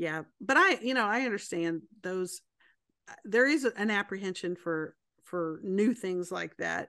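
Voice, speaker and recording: A woman with an American accent and a plain, everyday voice speaks at a fairly slow pace and medium pitch, with lively intonation against a quiet background. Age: 40s. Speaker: accountant and woodworker. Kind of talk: casual chat.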